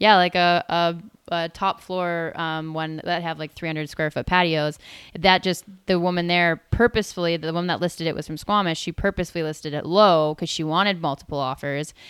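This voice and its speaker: With a normal speaking voice, a woman talks at a fairly quick pace in a fairly low pitch and fairly even intonation, on a very clean recording with a silent background. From British Columbia, Canada (Tsawwassen, near Vancouver). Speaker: real estate agent. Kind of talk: casual chat.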